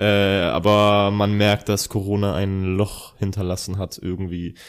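A man speaks in a fairly low pitch with monotone, flat intonation. The recording is very clean, with a silent background. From Bavaria (Ingolstadt). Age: 30s. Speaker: rapper. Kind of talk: casual chat. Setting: indoor recording.

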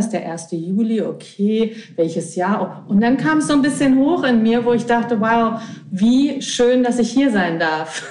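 A woman with a fairly high pitch speaks at a moderate pace and very even loudness, with audible room echo and noticeable background noise. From Berlin, Germany. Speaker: healer. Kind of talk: casual interview. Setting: remote from Italy.

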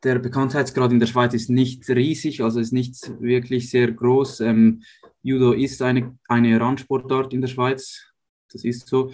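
A man with a middle-pitched voice speaks rather unhurriedly in a flat, monotone way. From Switzerland, Uster near Zurich. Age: 20s. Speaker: professional judo athlete. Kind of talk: interview. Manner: hesitant with fillers.

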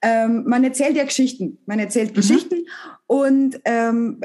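A woman speaks in a high voice with ordinary pitch variation and a Bavarian accent. Her pace is fairly slow. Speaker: comedian. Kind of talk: casual interview. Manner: halting.

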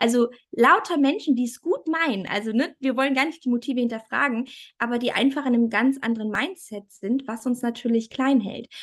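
A woman's high-pitched voice at a fairly quick pace with ordinary pitch variation. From Thuringia, Germany. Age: 30s. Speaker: family photographer. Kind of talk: casual interview.

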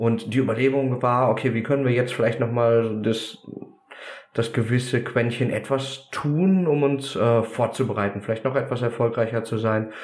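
A man at medium pitch and a moderate pace, very even in loudness, fairly even in intonation, with audible room echo. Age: 30s. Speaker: American football coach. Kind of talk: podcast interview. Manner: carrying, audible across a field.

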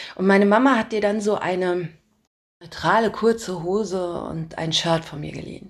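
A woman talks at a medium pitch and a moderate pace, in an unremarkable speaking voice. Her loudness swings a lot, while her pitch varies in an ordinary way. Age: adult, parent. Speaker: podcast host and storyteller. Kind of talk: scripted narration.

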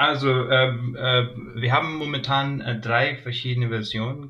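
A man speaks at a fairly slow pace. His pitch is medium and his intonation fairly even. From Pakistan. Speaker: cricket player. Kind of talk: interview. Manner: hesitant, many fillers.

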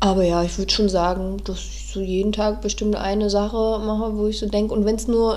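Background noise can be noticed throughout. A woman speaks at a fairly quick pace. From northeastern Germany (Neubrandenburg). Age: 30s. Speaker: podcast co-host. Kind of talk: casual chat. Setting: studio, sitting side by side.

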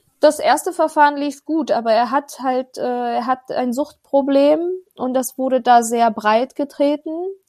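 Speaking at a fairly slow pace, a woman with a high pitch keeps her intonation fairly even, the sound dry and close with no echo. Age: 40s. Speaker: mother of two, separated from ex-partner. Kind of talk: interview testimony. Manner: halting, many fillers.

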